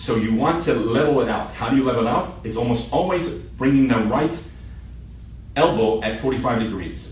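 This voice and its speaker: The speech comes at a fairly quick pace. Audible room echo and noticeable background noise fill the recording. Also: man. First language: Hebrew. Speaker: shooting instructor. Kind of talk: hands-on instruction. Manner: halting.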